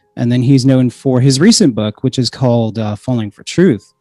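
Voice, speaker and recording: With music playing behind him, a man speaks at a medium pitch in fairly even intonation, the sound dry and close with no echo. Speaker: podcast host. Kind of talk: podcast intro monologue. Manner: hesitant, many fillers; quiet.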